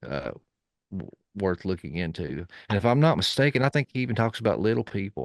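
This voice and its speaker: A man with an East Tennessee accent talks at a fairly quick pace in a fairly low pitch with very wide pitch swings and vocal fry, recorded in a dry, close sound with no echo over a quiet background. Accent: Southern US (East Tennessee). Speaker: podcast guest. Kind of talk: casual chat.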